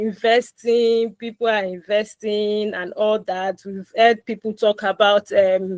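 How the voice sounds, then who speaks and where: A woman's fairly high voice at a very slow pace. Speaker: personal finance educator. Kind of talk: live online finance class. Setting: online call.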